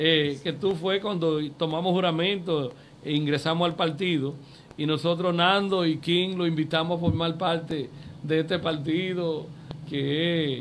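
With fairly even intonation, a high-pitched man talks at a fairly slow pace. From Dominican Republic, Puerto Plata area. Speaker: local politician. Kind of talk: interview.

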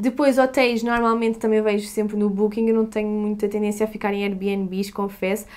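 A woman with a European Portuguese accent, fairly high in pitch, monotone and flat in intonation, at a moderate pace. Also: hardly any pauses. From Portugal. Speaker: YouTuber. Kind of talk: Q&A vlog. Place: home room.

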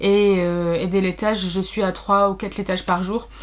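A woman speaks with fairly even intonation. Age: 30s. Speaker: book vlogger. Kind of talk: personal vlog. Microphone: webcam.

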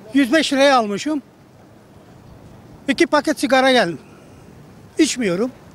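A man speaks at extremely high pitch with lively intonation at a moderate pace. He leaves long, frequent pauses, and the sound is dry with no echo. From Siirt, southeastern Turkey; Turkey. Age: 70s. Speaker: passer-by interviewee; interviewee. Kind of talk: street interview. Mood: complaining, recounting hardship. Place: street. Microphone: handheld.

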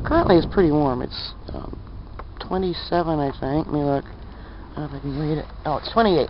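A woman at a moderate pace, her loudness swinging widely, in a dry sound with no echo but noticeable background noise. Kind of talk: casual vlog chat. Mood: opinionated, matter-of-fact. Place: street. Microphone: phone near.

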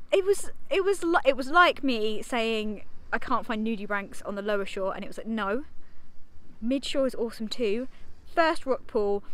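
A woman talks at a moderate pace, and the sound is dry with no echo. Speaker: marine biologist vlogger. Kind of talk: casual vlog chat. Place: beach. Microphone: phone near.

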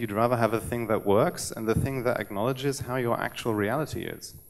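The man rattles through his words at a very fast pace. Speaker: web developer. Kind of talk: conference talk. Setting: stage with audience. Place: stage. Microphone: podium.

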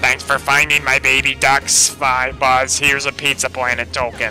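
Putting on a squeaky character voice, a man speaks at a moderate pace and medium pitch while clear music plays in the background.

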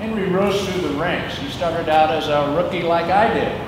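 A man talks over loud background noise. Audible room echo fills the recording. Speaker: former firefighter. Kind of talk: tribute speech. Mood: respectful, formal. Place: garage.

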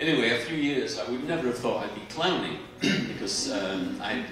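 Clear music plays in the background as a man speaks with audible room echo. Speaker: guest. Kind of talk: stage interview answer. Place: stage.

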